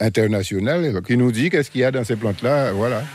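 A man with a normal speaking voice, medium pitch and lively intonation. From Guadeloupe, Pointe-Noire. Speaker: eco-museum founder. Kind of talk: guided tour.

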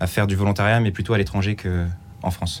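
A man talks at a fairly quick pace. His voice is very deep and low, with fairly even intonation. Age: 20s. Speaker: engineering student volunteer. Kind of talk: radio interview. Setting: studio.

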